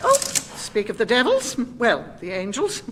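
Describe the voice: A woman in a put-on character voice, fairly high and fairly bright, with very wide pitch swings over faint background noise. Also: fairly slow pace.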